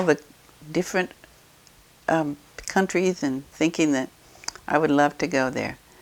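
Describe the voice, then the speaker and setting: A woman speaks with a Midwestern American accent. Her pitch is very deep and low. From Eureka, Illinois, USA. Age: 80s+. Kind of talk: interview answer.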